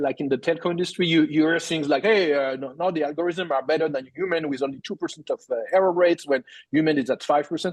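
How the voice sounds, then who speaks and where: Over a quiet background with a dry, close sound and no echo, a man with a strong French accent and a fairly high pitch speaks very fast, with hardly any pauses and fairly even intonation. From France. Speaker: tech company CEO. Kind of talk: podcast interview. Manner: halting, many repetitions.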